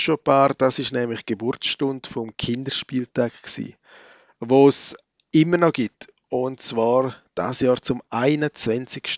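Very slow male speech at a medium pitch, its rise and fall ordinary. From Switzerland, Graubünden (Chur). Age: 40s. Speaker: church podcaster / preacher. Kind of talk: reflective monologue, sermon-like.

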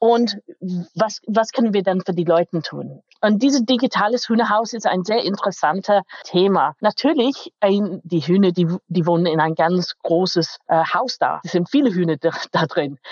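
A woman's medium-pitched voice in an English accent, at a fairly slow pace. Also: ordinary pitch variation. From England, Manchester. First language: English (speaking German). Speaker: IT company manager. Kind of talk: interview. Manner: halting, non-native German.

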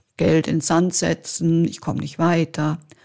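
On a very clean recording with a silent background, a woman talks very slowly in a dark, mellow tone. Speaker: podcast host, Italian teacher and property advisor. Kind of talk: scripted monologue.

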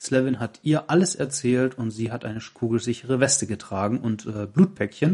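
A normal speaking voice from a man, medium in pitch, at a moderate pace with lively intonation. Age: 30s. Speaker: podcast host. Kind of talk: casual chat. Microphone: laptop recording.

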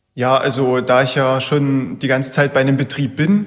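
Noticeable background noise sits behind this speaker. He is a man with a fairly high pitch. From Saxony-Anhalt (Bernburg). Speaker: engineering student. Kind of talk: interview.

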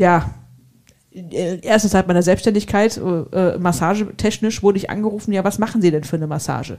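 Speaking fairly quickly in a Hessian accent, a woman has a medium pitch, a dark, mellow tone and ordinary pitch variation. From Hesse, Germany. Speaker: entrepreneur and massage therapist. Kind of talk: casual chat.

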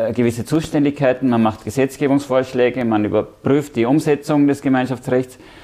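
An unremarkable speaking voice from a man, moderately paced and mid-pitched, its intonation fairly even. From Austria, Vienna. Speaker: EU civil servant. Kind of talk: interview.

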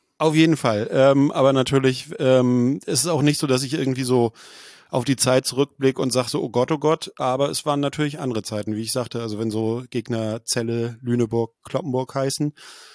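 The pace is fairly quick and the intonation fairly even. The sound is dry and close with no echo, over a quiet background. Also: man, medium pitch for a man. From Schleswig-Holstein, northern Germany. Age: 40s. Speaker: football journalist and blogger. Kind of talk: casual interview. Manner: hesitant with frequent fillers.

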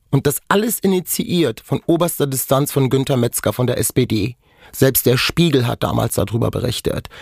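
A man speaks at a medium pitch and a moderate pace, somewhat breathy, with lively intonation. The sound is dry and close, with no echo. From Germany. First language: Romani (speaking German). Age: 40s. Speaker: dental hygienist, author and activist. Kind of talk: personal testimony interview. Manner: animated.

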